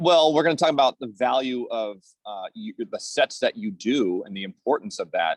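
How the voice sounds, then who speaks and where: A man speaks at a moderate pace with big swings in loudness, recorded dry and close with no echo. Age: 40s. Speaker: masters swimmer and swim coach. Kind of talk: casual interview.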